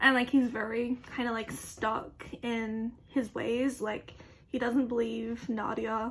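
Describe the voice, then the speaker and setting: This woman talks fairly slowly. The intonation stays monotone and flat. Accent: Australian. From Australia. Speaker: youtuber. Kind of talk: casual opinion monologue. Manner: casual, filler-heavy.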